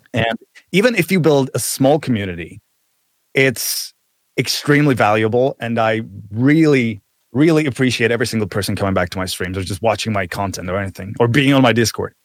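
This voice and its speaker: Lively intonation at a fairly quick clip, in a dry, close sound with no echo. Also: man, medium pitch for a man. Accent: Czech. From Czech Republic. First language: Czech. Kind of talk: casual chat. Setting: video call, remote guest.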